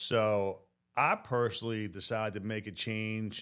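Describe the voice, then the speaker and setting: In a very clean recording with a silent background, a man speaks in a fairly low pitch. His pace is very slow. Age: 60s. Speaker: plumber. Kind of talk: casual chat.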